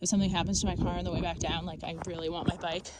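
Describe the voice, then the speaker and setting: There is noticeable background noise. Through it, a woman's voice comes across. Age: 30s. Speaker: travel vlogger. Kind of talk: casual vlog narration. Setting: outdoors. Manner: animated.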